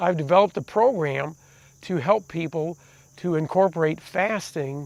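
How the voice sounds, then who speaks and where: A plain, everyday voice at a fairly slow pace, with ordinary pitch variation, in a very clean recording with a silent background. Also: man. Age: 60s. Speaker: documentary presenter. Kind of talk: personal video diary.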